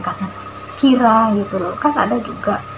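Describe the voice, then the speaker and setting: A woman's voice with noticeable background noise. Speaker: vlogger. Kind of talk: personal testimony. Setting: self-recorded video. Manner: stiff; hesitant.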